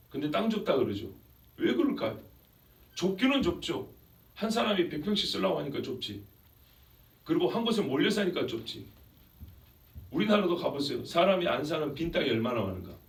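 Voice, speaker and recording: A man at a fairly quick pace, with long, frequent pauses. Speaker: pastor giving a sermon. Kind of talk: sermon preached to a congregation.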